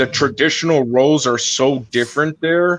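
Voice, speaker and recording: Male speech, medium in tempo, pitch rising and falling normally. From US, Latin American immigrant parents. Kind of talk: casual chat. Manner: halting, many fillers.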